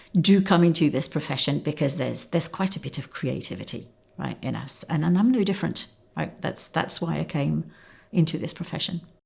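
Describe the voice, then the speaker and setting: Speaking at a fairly quick pace, a woman with a fairly low pitch and vocal fry shows ordinary pitch variation. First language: not English. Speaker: marketing executive. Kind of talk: interview answers. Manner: conversational, with fillers.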